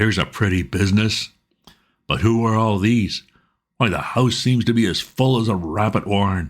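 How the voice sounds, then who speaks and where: Using a put-on character voice, a man speaks at a moderate pace in a husky, fairly low register, on a very clean recording with a silent background. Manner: blustering, brusque.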